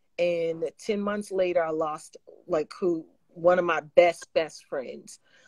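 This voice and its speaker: Against a quiet background, a woman talks at a very slow pace with a fairly low pitch, fairly even intonation and a dry sound with no echo. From New York. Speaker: gospel singer; guest. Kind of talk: casual chat. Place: home room. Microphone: video call.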